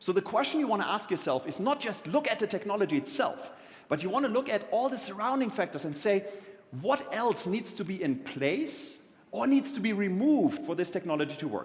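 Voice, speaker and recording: A man with a slight German accent talks at a fairly quick pace. His pitch is high and swings very widely, with noticeable background noise behind him. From Germany. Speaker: keynote speaker on technology and the future. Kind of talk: conference keynote talk.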